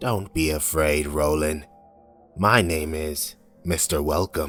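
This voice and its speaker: A man uses a put-on character voice, booming and very deep, at a fairly slow pace. Faint music plays in the background. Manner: reassuring.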